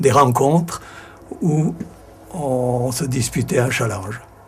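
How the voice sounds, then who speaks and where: The speaker goes at a very slow pace with ordinary pitch variation while noticeable background noise sits underneath. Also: man. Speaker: local resident. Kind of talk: interview testimony.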